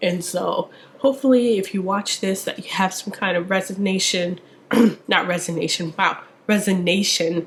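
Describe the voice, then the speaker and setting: The talking goes at a moderate pace while noticeable background noise runs underneath. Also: woman. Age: 20s. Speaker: lifestyle vlogger. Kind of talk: casual vlog monologue. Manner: animated.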